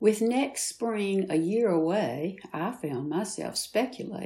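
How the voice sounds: What you hear is a natural reading voice.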